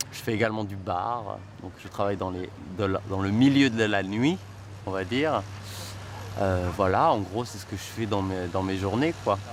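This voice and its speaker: A man with a fairly low voice talks at a moderate pace, his pitch varying in an ordinary way and his loudness swinging widely. Long pauses come often, and room echo is audible. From Marseille, southern France, with years in Montreal. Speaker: actor. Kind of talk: documentary interview. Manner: hesitant, with many fillers.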